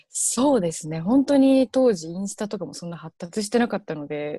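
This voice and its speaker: Over a quiet background and with a dry sound with no echo, a woman speaks in a somewhat breathy, dark, mellow tone with very wide pitch swings. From Japan, Kansai region. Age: 20s. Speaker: university student. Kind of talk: interview. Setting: online live stream. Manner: hesitant with many fillers. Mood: cheerful, smiling. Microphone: earbuds.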